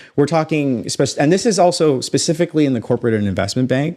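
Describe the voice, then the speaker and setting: A man with an American accent and lively intonation, in a very clean recording over a silent background. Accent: American-sounding North American. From Canada (Toronto). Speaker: space entrepreneur, former banker. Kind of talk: podcast interview.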